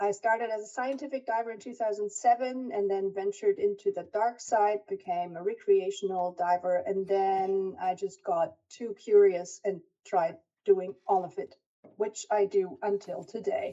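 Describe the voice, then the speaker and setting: A woman with a German accent, medium pitch, ordinary pitch variation and a moderate pace. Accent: German-tinged English. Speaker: diving research scientist. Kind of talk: lecture.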